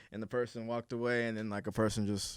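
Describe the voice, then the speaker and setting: A man rattles off his words at a very fast pace in a very clean recording with a silent background. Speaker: podcast host. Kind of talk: casual chat.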